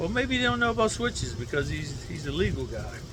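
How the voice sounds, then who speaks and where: A man talks at a moderate speed while noticeable noise carries on in the background. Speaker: gun reviewer, military veteran; gun owner reviewer. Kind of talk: casual unscripted rant. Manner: slurred speech; rambling, unrehearsed. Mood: relaxed, joking. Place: garden.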